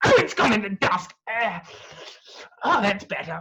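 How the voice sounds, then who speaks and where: A put-on character voice at a middle pitch moves along at a moderate pace. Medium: stage play.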